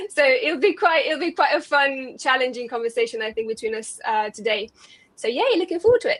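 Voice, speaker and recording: A woman speaks with a high pitch at a fairly quick pace. Her voice makes very wide pitch swings. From Romania. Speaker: SEO consultant. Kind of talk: webinar panel discussion.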